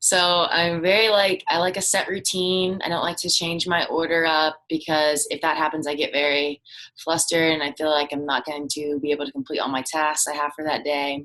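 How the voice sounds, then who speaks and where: With an American accent, a woman speaks in a very deep, low pitch and fairly even intonation. Her pace is fairly quick, with hardly any pauses. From US South, coastal North Carolina (Wilmington). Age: 20s. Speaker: college student. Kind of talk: class presentation, self-introduction. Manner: casual, some hesitations.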